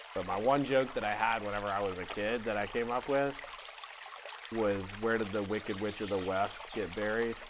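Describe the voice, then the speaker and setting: Noticeable background noise accompanies a man who speaks at a moderate pace with fairly even intonation. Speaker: artist teaching art. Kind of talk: casual art tutorial. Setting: studio with blue screen. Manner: soft-spoken; playful, joking.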